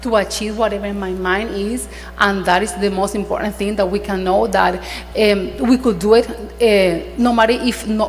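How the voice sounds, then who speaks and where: A woman with a non-native accent speaks at a moderate pace. Audible room echo and noticeable background noise fill the recording. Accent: foreign. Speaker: attorney. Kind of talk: panel discussion. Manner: halting.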